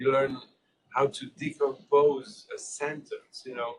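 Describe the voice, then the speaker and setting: At a fairly slow pace, a man talks with a French accent. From Switzerland (French-speaking, Geneva). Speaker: public health scientist and journal editor. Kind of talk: informal small group Q&A discussion. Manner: halting, with repetitions and fillers.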